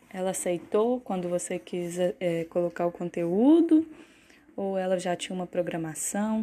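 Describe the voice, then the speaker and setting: A dark, mellow tone comes at a fairly slow pace over a quiet background. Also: woman. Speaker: university student, podcast host. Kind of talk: interview.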